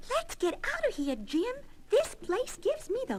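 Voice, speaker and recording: Using a put-on character voice, a woman sounds squeaky and extremely high-pitched. She moves through very wide pitch swings at a moderate pace. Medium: audio drama.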